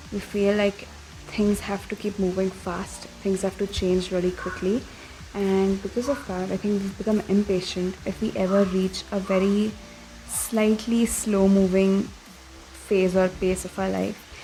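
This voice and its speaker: Over noticeable background noise, a soft-spoken woman at medium pitch talks at a fairly slow pace in a flat monotone. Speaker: vlogger. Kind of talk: casual vlog talk. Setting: outdoors at a farm.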